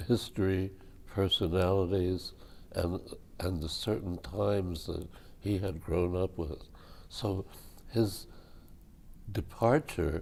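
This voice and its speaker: Very slowly, a man speaks in a very deep, low, somewhat breathy voice. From born abroad. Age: 80s+. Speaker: multimedia artist. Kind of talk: oral history interview answer.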